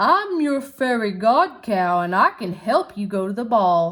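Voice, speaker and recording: In a put-on character voice, someone talks fairly slowly. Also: woman, fairly high pitch for a woman. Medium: read story.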